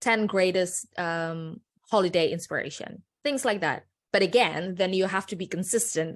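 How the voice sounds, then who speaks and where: A woman with a non-native accent at a medium pitch, ordinary pitch variation, and a moderate pace, over a quiet background. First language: not English. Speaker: personal branding consultant. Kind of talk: presentation.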